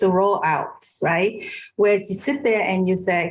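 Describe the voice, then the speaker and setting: A woman's somewhat breathy voice at a fairly slow pace, with a slight non-native accent and audible room echo. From Vietnam. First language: Vietnamese. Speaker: professor. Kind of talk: online discussion. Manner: halting.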